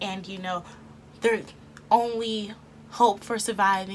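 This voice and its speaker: An American accent with fairly even intonation. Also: woman. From Texas. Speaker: YouTube anime reviewer. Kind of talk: casual commentary to camera. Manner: chatty, humorous.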